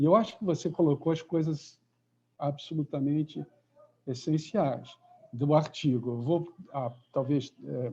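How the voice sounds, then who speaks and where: A man with a dark, mellow, somewhat breathy voice speaks at a fairly slow pace with long, frequent pauses, his fairly high pitch showing ordinary variation. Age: 70s. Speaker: professor. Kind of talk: lecture.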